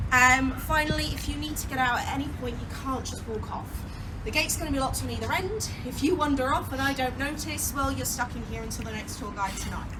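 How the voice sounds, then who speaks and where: A woman races along at a very fast pace while noticeable background noise and audible room echo surround her. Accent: Yorkshire. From Yorkshire, northern England. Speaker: tour guide. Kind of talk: guided tour talk. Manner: animated, joking.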